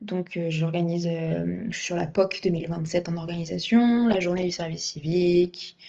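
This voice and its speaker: The tone is dark and mellow. Intonation stays fairly even at a fairly slow pace. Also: woman. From France, Fontainebleau (Seine-et-Marne). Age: 20s. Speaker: civic service volunteer, recent graduate. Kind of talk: interview. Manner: hesitant, many fillers.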